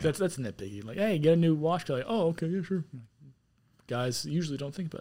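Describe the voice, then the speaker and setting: A man talks at a very fast pace in a fairly high pitch, his dark, mellow tone carrying lively intonation and big swings in loudness. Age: 20s. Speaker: guest, military contractor. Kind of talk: casual chat.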